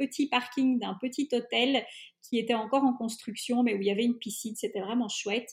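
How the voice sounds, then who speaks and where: A woman speaks in a high voice with a flat, monotone delivery. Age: 30s. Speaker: traveling mother. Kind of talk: interview. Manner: hesitant with fillers.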